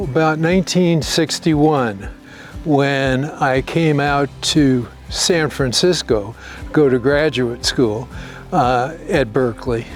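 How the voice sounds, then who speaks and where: Over music in the background, someone with an American accent speaks at a very slow pace, with ordinary pitch variation and very even loudness. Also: man, fairly high pitch for a man. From New York City. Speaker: winery owner. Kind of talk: interview answer.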